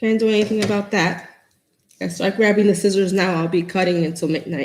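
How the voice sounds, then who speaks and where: A woman with a New York accent speaks at medium pitch with lively intonation. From New York City, the Bronx. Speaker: craft tutorial host. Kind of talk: live-stream craft tutorial. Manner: chatty, casual.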